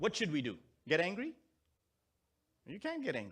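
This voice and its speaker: A man with a Pakistani accent at a fairly quick pace, on a very clean recording with a silent background. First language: Urdu. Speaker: Islamic scholar. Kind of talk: sermon.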